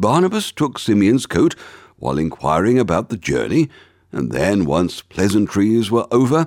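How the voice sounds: Natural-sounding voice, reading aloud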